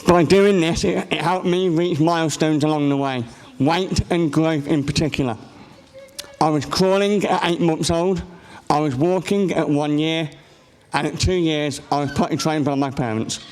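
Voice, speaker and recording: A man with an English accent and a fairly high voice, at a moderate pace with fairly even intonation, amid noticeable background noise and audible room echo. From England. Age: 20s. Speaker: conference speaker with a rare condition. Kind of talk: personal testimony talk. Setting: stage with audience. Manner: halting.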